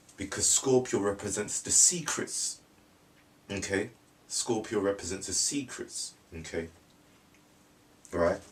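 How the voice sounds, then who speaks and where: Somewhat breathy, the voice moves at a fairly slow pace with ordinary pitch variation and long, frequent pauses. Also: man, fairly low pitch for a man. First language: French. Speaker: astrology video maker. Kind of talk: monologue talk. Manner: repetitive, halting.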